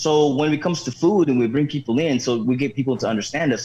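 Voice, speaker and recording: A man with an American accent speaks at medium pitch. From Philippines. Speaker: home cook guest. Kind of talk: casual chat. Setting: live stream show. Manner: animated.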